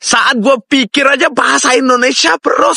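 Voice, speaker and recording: A man projects his extremely high voice at a moderate pace, the sound dry and close with no echo. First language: Russian (speaking Indonesian). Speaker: foreign Indonesian speaker. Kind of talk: casual chat. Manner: animated.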